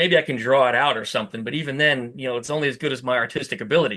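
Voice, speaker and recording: Loud and fairly high-pitched, a man speaks. He has a New Jersey accent. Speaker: VW YouTuber and fabricator. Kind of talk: podcast interview. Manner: animated.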